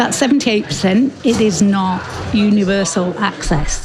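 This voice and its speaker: With music in the background, a woman with a British accent speaks at a fairly high pitch with ordinary pitch variation. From northern England. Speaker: global health expert. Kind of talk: interview.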